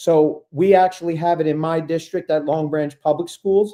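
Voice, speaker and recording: Speaking with a New York accent, a man has a fairly high pitch and a dark, mellow tone. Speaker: ed tech coach, presenter. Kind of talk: webinar tutorial. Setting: online webinar. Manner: fast; animated.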